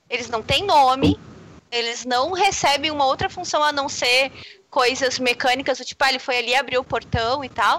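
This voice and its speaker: This woman's high voice has a bright, sharp tone. She talks at a moderate pace with ordinary pitch variation. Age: 30s. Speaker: games and literature scholar. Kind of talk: casual panel discussion.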